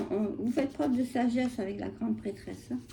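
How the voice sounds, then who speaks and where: A woman's high-pitched voice at a moderate pace. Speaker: tarot reader. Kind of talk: tarot reading. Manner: hesitant, many fillers.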